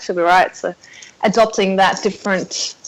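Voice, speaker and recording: A woman with an Australian accent and monotone, flat intonation. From South Africa. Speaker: podcast guest. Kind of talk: casual interview.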